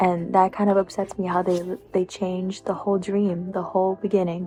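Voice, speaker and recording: Music plays in the background. Over it, a woman of medium pitch speaks in a monotone, flat intonation. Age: 20s. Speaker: book vlogger. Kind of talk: casual vlog. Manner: casual, hesitant with ums.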